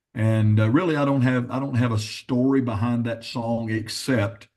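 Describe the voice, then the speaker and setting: A man with a normal speaking voice talks at a moderate pace and fairly even intonation. The background is quiet. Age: 60s. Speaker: gospel songwriter and pastor. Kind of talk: interview.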